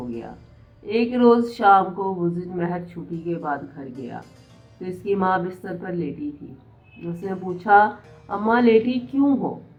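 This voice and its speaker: A woman's medium-pitched voice with lively intonation, music in the background. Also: big swings in loudness. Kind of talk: storybook reading.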